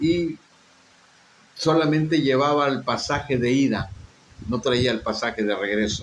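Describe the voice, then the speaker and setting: Speech at a fairly slow pace, with ordinary pitch variation and audible room echo. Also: man. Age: 60s. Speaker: pastor. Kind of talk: sermon with personal testimony.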